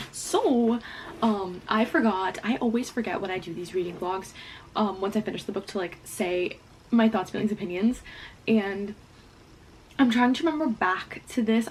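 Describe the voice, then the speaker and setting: This woman's voice sits at a medium pitch and varies in an ordinary way. Background noise is noticeable behind her. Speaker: booktuber. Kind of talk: casual vlog chat. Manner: fast; quiet.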